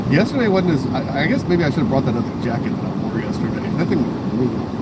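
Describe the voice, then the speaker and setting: Over noticeable background noise and audible room echo, a man talks at a very fast pace with lively intonation and a fairly high pitch. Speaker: livestreamer. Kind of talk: casual chat. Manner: loud.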